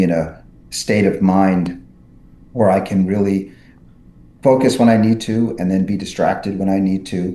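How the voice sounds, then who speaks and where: A man with an American accent speaks at a moderate pace in a very deep, low pitch with a dark, mellow tone. Audible room echo surrounds his voice. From New York City. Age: 60s. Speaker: neurosurgeon and author. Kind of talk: podcast interview. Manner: many fillers and restarts.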